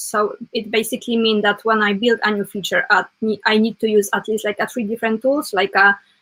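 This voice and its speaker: A woman with a non-native accent talks at a fairly quick pace in a fairly high pitch. Her tone is bright and sharp, her intonation monotone and flat. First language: not English. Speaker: web developer; guest. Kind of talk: casual interview chat. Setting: live stream. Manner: halting, many fillers. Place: home room.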